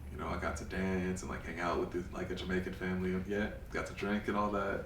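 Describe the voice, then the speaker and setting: Audible echo from the room is heard. A man talks fairly quickly within it. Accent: New York. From US Northeast, Bronx, New York City. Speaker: photographer. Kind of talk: interview. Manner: casual, many fillers.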